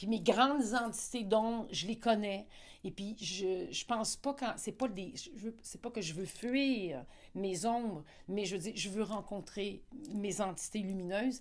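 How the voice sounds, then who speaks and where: A normal speaking voice at a fairly slow pace with ordinary pitch variation. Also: woman, fairly high pitch for a woman. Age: 60s. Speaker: interviewee on personal growth. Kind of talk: interview. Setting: live event.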